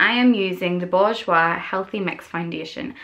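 With a Northern Irish accent, a woman speaks at a fairly slow pace. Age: 20s. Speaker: beauty vlogger. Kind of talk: makeup tutorial talk to camera. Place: home room. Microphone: phone near.

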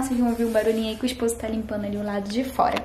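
A woman's voice, with light background noise and audible room echo. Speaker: home vlogger. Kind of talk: casual vlog chat. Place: kitchen. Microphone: phone near.

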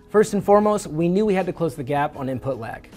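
Over faint background music, a man speaks at a fairly quick pace. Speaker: presenter. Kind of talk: promotional product presentation. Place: studio. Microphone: lapel.

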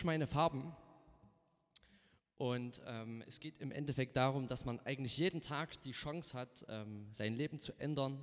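Against a quiet background, a man talks at a moderate pace. His pitch moves in an ordinary way. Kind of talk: casual stage banter introducing songs. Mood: relaxed, cheerful. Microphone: studio mic.

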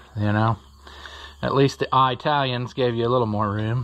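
Ordinary pitch variation from a man talking at a moderate speed. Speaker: tractor collector. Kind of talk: casual vlog chat. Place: farm machine. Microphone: phone near.

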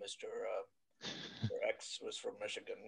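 In a put-on character voice, a man pitches himself extremely high.

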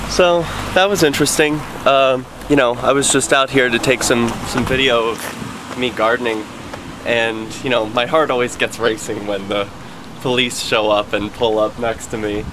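Over noticeable background noise, a man talks at a moderate pace with ordinary pitch variation and long, frequent pauses. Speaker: activist vlogger. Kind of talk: casual vlog chat. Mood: relieved, slightly nervous. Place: street. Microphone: phone near.

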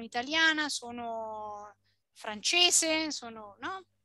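A woman's raised, projected voice, bright and sharp in tone, with very wide pitch swings, a dry sound with no echo and a quiet background. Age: 40s. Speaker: Italian language teacher. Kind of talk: online language lesson. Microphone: webcam.

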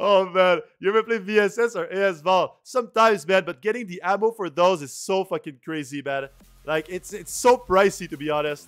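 A man's high-pitched voice at a fairly quick pace, with ordinary pitch variation, big swings in loudness, and faint music in the background. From Quebec, Canada. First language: French. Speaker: video game streamer. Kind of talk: live gameplay commentary. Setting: livestream. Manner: casual, chatty. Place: home room.

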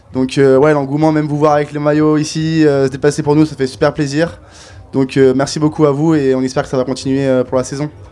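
Faint music plays in the background. A man with a fairly high pitch speaks at a fairly quick pace, his intonation monotone and flat. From France, Grenoble; France. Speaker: ice hockey player. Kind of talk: interview. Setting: fair stand with audience. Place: hall. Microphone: handheld.

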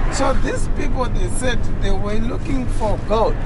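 Speech at a fairly slow pace comes through loud background noise with a dry sound and no echo. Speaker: tour guide. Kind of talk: storytelling explanation. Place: car. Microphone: phone near.

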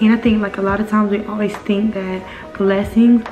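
Over clear music in the background, a woman at medium pitch speaks in a monotone, flat intonation. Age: 20s. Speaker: military veteran. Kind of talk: casual talk to camera. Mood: earnest, encouraging. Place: home room. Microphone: webcam.

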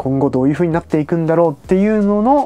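A man with a high pitch, talking at a very fast pace. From Hokkaido, Kushiro; Hokkaido, Japan. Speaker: travel vlogger. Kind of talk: casual vlog monologue. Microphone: lapel.

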